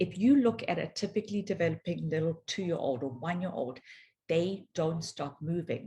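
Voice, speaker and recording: A woman with a South African accent speaks in a dark, mellow, somewhat breathy tone. Her intonation is lively. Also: fairly low pitch for a woman, moderate pace. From South Africa, Johannesburg. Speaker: physiotherapist. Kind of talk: conference talk.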